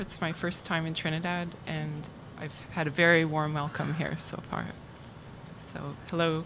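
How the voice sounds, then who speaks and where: A soft-spoken woman talks at a moderate pace with a fairly low pitch and monotone, flat intonation. Audible room echo surrounds her voice. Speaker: archivist at a university library. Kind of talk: conference talk.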